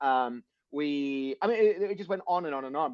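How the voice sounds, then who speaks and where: A man with a Sydney accent speaks in a fairly high voice with ordinary pitch variation. The sound is dry and close, without echo. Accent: Australian (Sydney northern beaches). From Australia. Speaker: motivational speaker and author. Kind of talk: podcast interview. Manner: halting, many restarts; animated.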